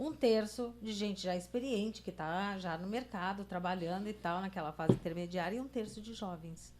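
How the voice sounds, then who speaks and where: At a moderate pace with hardly any pauses, a woman speaks at medium pitch with ordinary pitch variation in an ordinary speaking voice. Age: 60s. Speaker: journalist, podcast co-host. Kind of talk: casual chat.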